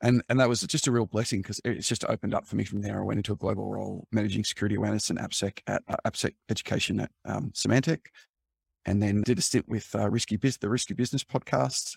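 A man speaks very fast in an Australian accent. The sound is dry and close, with no echo. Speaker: cybersecurity executive, former journalist. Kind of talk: interview. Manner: calm.

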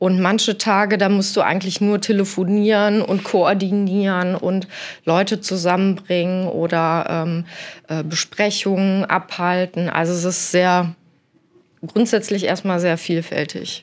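Over a silent background in a very clean recording, a woman of medium pitch speaks fairly slowly in a flat, monotone way. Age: 40s. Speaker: architect. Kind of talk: interview. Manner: hesitant, many fillers.

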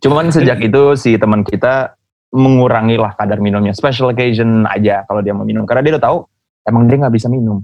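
This speaker talks at a very fast pace. The pitch variation is ordinary. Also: man, medium pitch for a man. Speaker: podcast host. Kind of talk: casual chat between friends. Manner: animated, laughs a lot.

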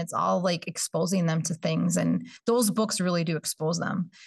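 The voice has vocal fry and an Upper Midwest accent, moving at a moderate pace with ordinary pitch variation. The sound is dry and close, with no echo. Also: woman. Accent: Upper Midwest (Minnesota). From northern Minnesota, Bemidji. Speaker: early childhood education coordinator. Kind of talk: casual interview chat.

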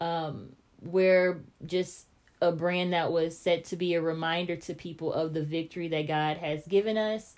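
A woman at a fairly low pitch, with fairly even intonation and a moderate pace, on a very clean recording with a silent background. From Kansas City, Missouri. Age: 20s. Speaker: podcast host and author. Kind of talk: casual interview. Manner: relaxed, with many ums.

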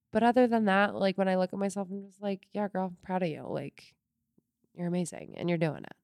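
A woman's ordinary speaking voice at medium pitch, with fairly even intonation and big swings in loudness, in a dry, close sound with no echo. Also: fairly quick pace. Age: 30s. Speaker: podcast co-host and former fitness instructor. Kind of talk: casual chat.

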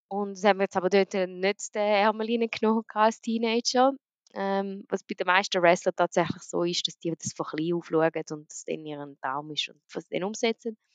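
A normal speaking voice moves at a moderate pace with ordinary pitch variation and big swings in loudness. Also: woman, medium pitch for a woman. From grew up around the world as a diplomat's daughter. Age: young. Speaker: professional wrestler. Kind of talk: casual interview. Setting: online call.

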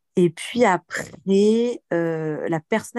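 Recorded dry and close with no echo, a woman speaks at a medium pitch in a dark, mellow tone. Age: 30s. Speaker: personal coach for women. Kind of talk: casual chat. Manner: animated.

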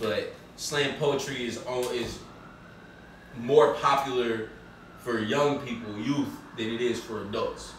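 A man's fairly slow speech with long, frequent pauses, audible room echo and noticeable background noise. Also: medium pitch for a man, fairly even intonation. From Oakland, California. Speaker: rapper. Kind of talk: casual chat.

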